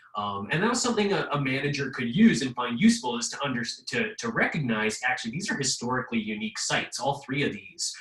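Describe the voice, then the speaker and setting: A man talks at a very fast pace with hardly any pauses and very wide pitch swings. Noticeable background noise runs under his voice. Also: fairly high pitch for a man. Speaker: history professor. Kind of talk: webinar presentation. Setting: video call.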